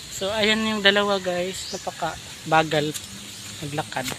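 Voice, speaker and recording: A man's raised, projected voice moves at a very slow pace, swinging very widely in pitch. Background noise is noticeable. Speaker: vlogger. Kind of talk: casual vlog chat. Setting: outdoors.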